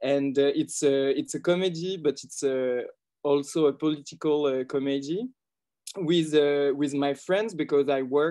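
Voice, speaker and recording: With a French accent, the speaker talks at a moderate pace. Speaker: film director. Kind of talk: interview. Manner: halting.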